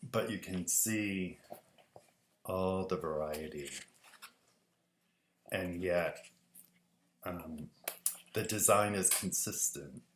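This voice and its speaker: A man's very deep, low voice at a very slow pace, with long, frequent pauses, ordinary pitch variation, audible room echo and light background noise. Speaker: design teacher. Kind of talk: tutorial talk to students. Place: home room. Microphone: webcam.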